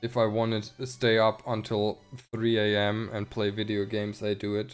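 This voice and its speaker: Over music in the background, a man with a German accent speaks at a moderate pace in a fairly low, monotone, flat intonation. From Germany. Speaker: video game streamer. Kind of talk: casual chat. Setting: live stream.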